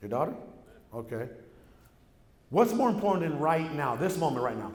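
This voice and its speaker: In an animated tone, a man speaks at a fairly quick pace with a fairly high, somewhat breathy voice and very wide pitch swings, with audible room echo. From Mexico, raised in San Diego area. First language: Spanish. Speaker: real estate entrepreneur, keynote speaker. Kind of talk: keynote speech. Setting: stage with audience.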